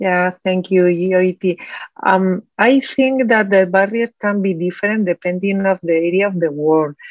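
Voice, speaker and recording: A woman with a Spanish accent, medium pitch, ordinary pitch variation and a fairly slow pace. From Spain. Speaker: oncologist, committee chair. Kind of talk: panel interview. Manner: halting.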